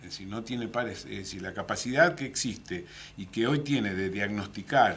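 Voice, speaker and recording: This man speaks with a Rioplatense accent at a fairly quick pace. His pitch is medium and his intonation lively. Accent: Argentine Rioplatense Spanish. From Argentina, Mar del Plata. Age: 60s. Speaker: municipal official. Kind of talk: radio/TV interview. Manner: halting, many fillers.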